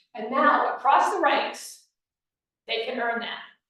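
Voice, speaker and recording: Her intonation lively, a woman talks in a room with audible echo. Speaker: scouting volunteer trainer. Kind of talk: presentation to volunteers. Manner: fast.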